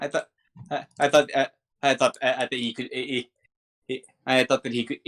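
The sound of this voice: The delivery is an unforced reading voice with fairly even intonation against a quiet background.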